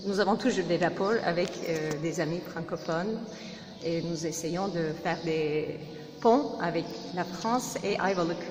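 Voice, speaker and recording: Over music in the background and audible room echo, a woman speaks very slowly with a Turkish accent. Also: fairly low pitch for a woman, ordinary pitch variation. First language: Turkish (speaking French). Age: 40s. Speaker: interviewee. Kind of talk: interview. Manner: halting.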